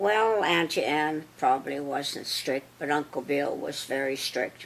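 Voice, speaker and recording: This woman has a Canadian Prairie accent. Her pitch is very deep and low for a woman. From Saskatchewan, Canada. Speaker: interviewee. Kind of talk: life story interview. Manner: halting.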